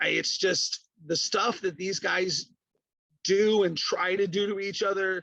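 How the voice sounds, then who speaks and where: A man with a high pitch speaks in a raised, projected voice with a bright, sharp tone. His intonation is monotone and flat, and his pace is fairly slow. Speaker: professional wrestling ring announcer. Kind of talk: casual podcast talk about wrestling matches.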